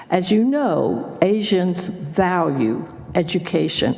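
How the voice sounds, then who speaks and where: A woman's fairly low voice in an American accent, with audible room echo and noticeable background noise. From Texas, Houston. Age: 80s+. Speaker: former state legislator. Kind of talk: testimony. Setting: senate committee hearing.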